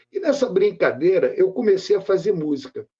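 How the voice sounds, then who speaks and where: A man talking at a moderate pace. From Rio de Janeiro, Brazil (Méier). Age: 60s. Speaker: poet and musician. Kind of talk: interview.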